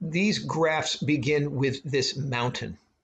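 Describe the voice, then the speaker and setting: There is light background noise as a man talks at a fairly slow pace. His voice is somewhat breathy, with ordinary pitch variation. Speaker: film class teacher. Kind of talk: lecture. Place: home room. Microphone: webcam.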